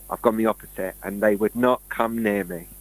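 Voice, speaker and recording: A very fast man's voice with a British accent, dry and close with no echo. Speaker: conspiracy show co-host. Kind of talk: casual chat. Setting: live stream.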